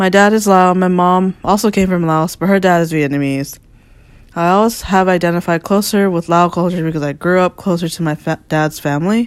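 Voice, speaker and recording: A woman with an American accent has a normal speaking voice and a fairly low pitch. She talks at a fairly quick pace with fairly even intonation. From US, Northern Virginia. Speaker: visual artist. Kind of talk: reading aloud.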